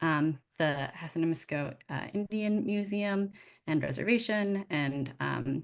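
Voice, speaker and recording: Against a quiet background, the speaker uses lively intonation with an American accent. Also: woman. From Massachusetts. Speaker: museum director. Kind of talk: presentation.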